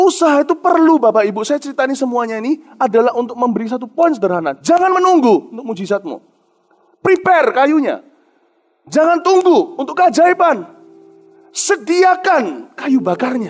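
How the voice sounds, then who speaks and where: At a fairly quick pace, a man speaks in an extremely high pitch with an animated tone and very wide pitch swings. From Indonesia. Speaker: pastor. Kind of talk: sermon.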